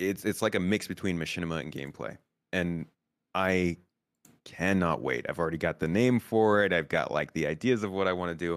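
A man with an American accent, very deep, low pitch, ordinary pitch variation and a fairly quick pace, on a very clean recording with a silent background. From United States. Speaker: Star Citizen YouTuber. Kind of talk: casual chat.

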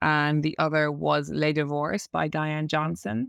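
With an Irish accent, the voice comes through with a dry, close sound, no echo and a quiet background. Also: woman. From Ireland, Cork. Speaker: novelist. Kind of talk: interview. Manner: halting.

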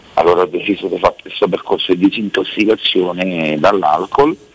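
A very deep, low-pitched man at a fairly quick pace, with noticeable background noise. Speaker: caller in alcohol rehab. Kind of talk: phone-in chat.

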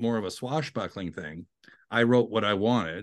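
A man has a plain, everyday voice, medium in pitch, with ordinary pitch variation and a moderate pace. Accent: Canadian. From Canada (Ottawa). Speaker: TV writer and composer. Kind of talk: interview.

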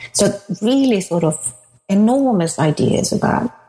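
A woman speaks with lively intonation in a Swedish accent. Music plays in the background. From Sweden. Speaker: author and academic. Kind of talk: interview.

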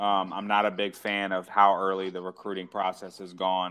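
A man's fairly low voice at a fairly quick pace. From Maryland, US. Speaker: college baseball coach. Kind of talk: podcast interview.

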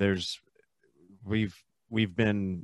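Against a quiet background, a man with an unremarkable speaking voice talks at a moderate pace and fairly low pitch, his intonation fairly even. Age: 30s. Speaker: podcaster. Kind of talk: casual chat. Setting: video call.

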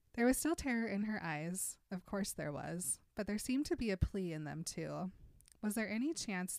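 The speaker reads in a natural reading voice, the intonation lively throughout.

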